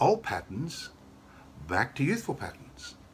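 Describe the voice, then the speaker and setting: A man with very wide pitch swings amid noticeable background noise. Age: 60s. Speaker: sales representative. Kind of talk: sales pitch. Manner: casual, conversational; enthusiastic.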